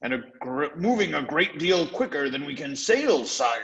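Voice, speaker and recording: Using a put-on character voice, a man speaks at a moderate pace with a fairly high pitch and lively intonation. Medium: read story.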